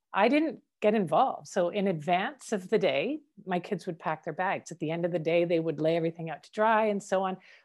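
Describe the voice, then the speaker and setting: In a Canadian accent, a woman talks at a fairly quick pace with a normal speaking voice, medium pitch and ordinary pitch variation on a very clean recording with a silent background. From Canada. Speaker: educational strategist. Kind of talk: interview.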